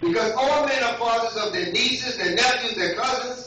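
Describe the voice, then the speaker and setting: Over strong room echo, a man talks in a raised, projected voice with lively intonation at a fairly quick pace. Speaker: lay preacher. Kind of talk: Father's Day church sermon with call-and-response. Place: church. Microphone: camera far.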